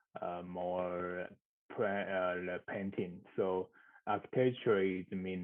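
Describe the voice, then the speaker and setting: A man with a Mandarin accent speaks in a very deep, low voice with monotone, flat intonation. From Taiwan. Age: 30s. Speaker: architectural designer. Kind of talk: interview. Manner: halting.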